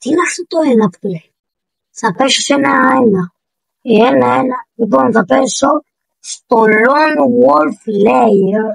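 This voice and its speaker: A woman speaks very slowly in a fairly high voice with vocal fry and very wide pitch swings. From Greece. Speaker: gaming YouTuber. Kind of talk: gameplay commentary. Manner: animated.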